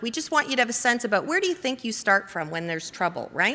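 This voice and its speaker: A woman speaks in a raised, projected voice with a high pitch. Her tone is bright and sharp, and her pitch swings very widely. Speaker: conference workshop presenter. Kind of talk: conference presentation to audience. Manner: fast.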